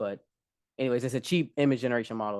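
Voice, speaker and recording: The sound is dry and close with no echo. A man talks with a slight Southern US accent and fairly even intonation. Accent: slight Southern twang. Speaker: developer presenting demo. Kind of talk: casual tech demo chat. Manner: hesitant, many fillers.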